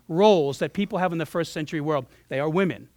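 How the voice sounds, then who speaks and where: On a very clean recording with a silent background, a man speaks in an animated tone with ordinary pitch variation. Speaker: pastor. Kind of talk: sermon. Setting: church. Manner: fast.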